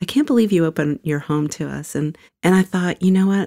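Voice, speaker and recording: A woman with an American accent speaks in a fairly low pitch with a dark, mellow tone, recorded in a dry, close sound with no echo. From New York City area. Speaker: children's ministry leader. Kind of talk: casual chat.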